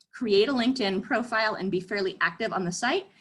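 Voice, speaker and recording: A woman's fairly high voice with lively intonation, a fairly quick pace and an American accent. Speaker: career counselor. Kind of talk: webinar presentation. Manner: fast.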